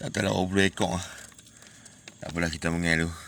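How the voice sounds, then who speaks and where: Against noticeable background noise, a man talks with a very deep, low pitch. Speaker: fishing vlogger. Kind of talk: casual vlog narration. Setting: outdoors by river at night.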